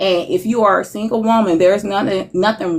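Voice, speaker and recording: A woman speaks at a medium pitch with a normal speaking voice. Her pace is moderate. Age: 40s. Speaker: relationship speaker sharing experience. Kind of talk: casual interview chat.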